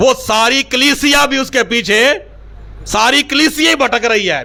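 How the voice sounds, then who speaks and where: A man uses a raised, projected voice at an extremely high pitch. His pitch variation is ordinary. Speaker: pastor, church preacher. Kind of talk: sermon-style motivational speech.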